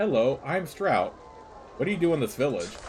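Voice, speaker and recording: With music in the background, a man puts on a shaky character voice, high-pitched and lively in intonation, keeping a moderate pace and very even loudness. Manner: nervous.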